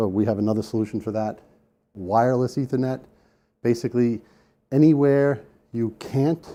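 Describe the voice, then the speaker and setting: A man's dark, mellow, medium-pitched voice at a moderate pace with ordinary pitch variation. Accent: New York. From New York. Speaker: sales engineer presenter. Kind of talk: conference presentation. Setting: room with live audience. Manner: casual, conversational.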